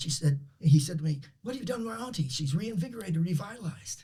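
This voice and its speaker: Very fast and animated, a man with a fairly high voice speaks with lively intonation. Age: 70s. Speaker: performance psychologist. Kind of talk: interview storytelling.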